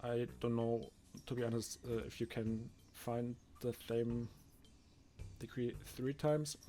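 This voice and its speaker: There's music playing underneath. The man's delivery is fairly slow. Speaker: gaming video creator. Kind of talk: gameplay commentary. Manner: casual with fillers.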